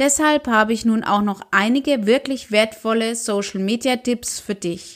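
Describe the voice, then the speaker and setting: A woman's plain, everyday voice, fairly high in pitch with ordinary variation, at a fairly slow pace with hardly any pauses. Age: 40s. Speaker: social media podcast host. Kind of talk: weekly news roundup monologue.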